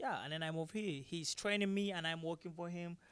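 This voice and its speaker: A man with a Nigerian accent and a high pitch speaks at a fairly quick pace with fairly even intonation. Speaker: MMA fighter and taekwondo instructor. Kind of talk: post-fight interview. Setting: live at fight venue. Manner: halting, many fillers and repetitions.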